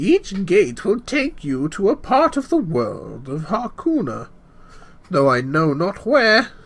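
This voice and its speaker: In a put-on character voice, a man speaks at a fairly slow pace and a high pitch. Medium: read story. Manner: rambling, excitable.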